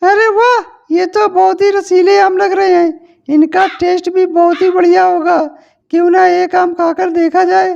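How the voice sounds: Extremely high-pitched cartoonish character voice, at a moderate pace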